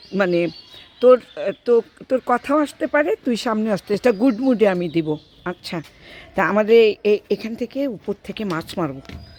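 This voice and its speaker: A woman speaks at a fairly high pitch with lively intonation. The sound is dry and close with no echo, though background noise is noticeable. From Bangladesh, Gaibandha. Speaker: vlogger. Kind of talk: casual vlog chat. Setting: outdoors by a pond. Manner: animated.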